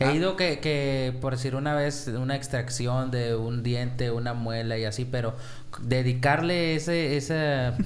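Man with a Mexican accent at a fairly slow pace, fairly even in intonation, with audible room echo and noticeable background noise. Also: medium pitch for a man. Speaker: podcast co-host. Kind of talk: casual chat.

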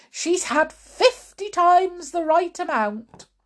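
This is a put-on character voice at a slow pace. The intonation is lively. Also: woman, extremely high pitch for a woman.

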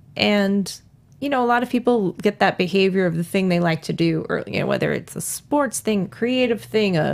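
A woman speaks in a plain, everyday voice at medium pitch and a fairly quick pace, with lively intonation. The recording is very clean with a silent background. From New York. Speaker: author. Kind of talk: interview. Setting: studio.

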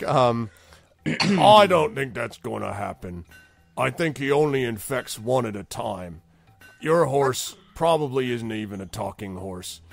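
With faint music in the background, a man does a put-on character voice at a medium pitch and a fairly slow pace. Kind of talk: comic roleplay voice. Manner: slow-witted, chatty, casually menacing.

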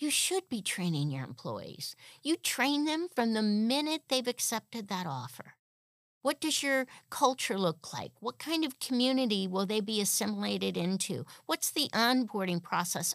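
On a very clean recording with a silent background, a woman speaks at a moderate pace with a fairly high pitch and very wide pitch swings, the sound dry and close with no echo. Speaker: HR podcast host and instructor. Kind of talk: opinionated rant in a solo podcast monologue. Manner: indignant, emphatic, fired up; punchy, direct, speaking straight to listeners.

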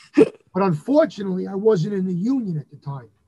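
A man speaks with a New York accent. His pitch is high, and his pace is moderate. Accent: New York (Bronx). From New York, the Bronx. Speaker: Elvis impersonator and venue owner. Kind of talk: casual chat.

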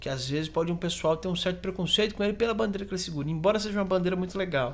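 Over noticeable background noise, a man with a high pitch and ordinary pitch variation speaks at a very fast pace. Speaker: podcast co-host, comedian. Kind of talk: casual chat.

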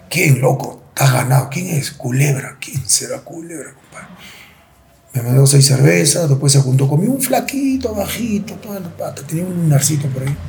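Noticeable background noise sits behind a man's voice. He speaks with lively intonation and big swings in loudness. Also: fairly high pitch for a man, moderate pace. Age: 40s. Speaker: former football goalkeeper. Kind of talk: interview.

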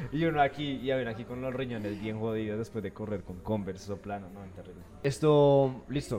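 A man's medium-pitched voice at a fairly quick pace, with ordinary pitch variation, big swings in loudness and noticeable background noise. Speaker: podcast host. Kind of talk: casual interview chat. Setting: café.

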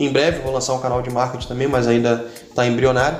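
Over music in the background and audible room echo, the voice rushes at a very fast pace in a monotone, flat intonation. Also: man. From Rio de Janeiro, Brazil. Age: 30s. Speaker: taekwondo instructor and business owner. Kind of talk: casual interview chat.

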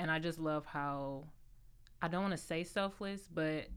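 At a moderate pace, a woman speaks. Her pitch is very deep and low. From Cleveland, then Atlanta. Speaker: skincare maker. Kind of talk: casual chat.

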